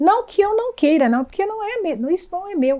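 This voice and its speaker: A woman's pitch swings very widely as she talks at a medium tempo. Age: 70s. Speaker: oral tradition keeper. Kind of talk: documentary interview storytelling. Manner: halting with repetitions.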